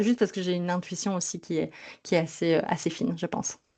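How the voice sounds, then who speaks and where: With a slight Belgian accent, a woman speaks at a medium pitch. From Belgium. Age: 30s. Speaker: sleep psychologist. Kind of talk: podcast interview. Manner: lively, dynamic; hesitant, many fillers.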